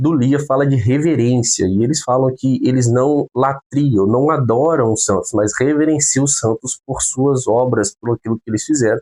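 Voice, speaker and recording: A man talks at a moderate pace in a medium pitch, his tone dark and mellow with ordinary pitch variation. The sound is dry and close with no echo, and he hardly pauses. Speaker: theology teacher. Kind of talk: lecture.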